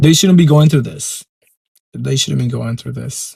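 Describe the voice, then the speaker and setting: Here a man speaks in a Puerto Rican accent at a fairly high pitch, somewhat breathy. The sound is dry and close, with no echo. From Puerto Rico. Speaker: pageant commentator YouTuber. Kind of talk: opinion rant to camera. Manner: animated.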